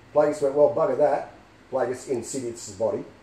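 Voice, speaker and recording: With an Australian accent, a man speaks at a fairly high pitch and keeps his intonation fairly even. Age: 50s. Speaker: film fan. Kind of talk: casual fan theory talk to camera.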